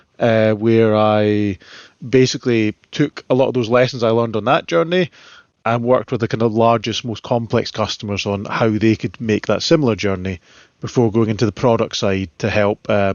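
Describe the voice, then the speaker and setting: In a Scottish accent, a man talks at a moderate pace. His medium pitch shows ordinary pitch variation. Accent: Scottish, relatively soft. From central Scotland. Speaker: solutions architect. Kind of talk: podcast interview. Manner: halting, many fillers and repeats.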